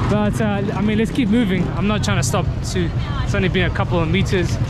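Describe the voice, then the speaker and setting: Loud background noise runs under speech at a fairly quick pace. The sound itself is dry, with no echo. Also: man. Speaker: travel vlogger. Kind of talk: casual vlog chat. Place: street. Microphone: phone near.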